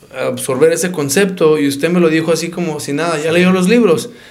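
A man speaks with ordinary pitch variation. Room echo is audible, and background noise is noticeable. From Arizona, Phoenix. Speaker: doctor and local business owner. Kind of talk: casual interview.

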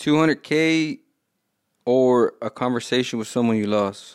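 The recording is very clean with a silent background. An unremarkable speaking voice moves at a fairly slow pace with ordinary pitch variation. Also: man. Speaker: podcast host. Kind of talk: casual podcast interview.

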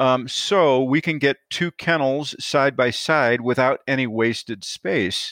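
Very slow and fairly high-pitched, a man talks with a Midwestern US accent and ordinary pitch variation in a dry, close sound with no echo. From northern Illinois. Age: 50s. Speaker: kennel company owner. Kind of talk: interview. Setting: remote call over satellite internet.

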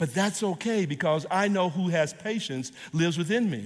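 A high-pitched man with an American accent, at a fairly slow pace. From US Midwest, Kansas City inner city. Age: 70s. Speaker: guest preacher. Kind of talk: sermon. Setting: stage with audience.

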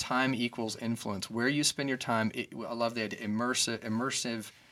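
In a very clean recording with a silent background, a man with an American accent speaks fairly quickly in a flat monotone, his medium-pitched voice bright and sharp. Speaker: podcast host. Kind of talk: casual conversation. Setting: studio.

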